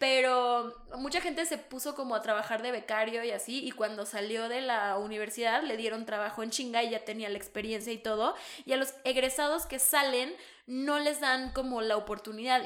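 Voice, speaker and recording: A woman with a plain, everyday voice speaks at fairly high pitch with fairly even intonation. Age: 20s. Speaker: podcast co-host. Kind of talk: casual chat.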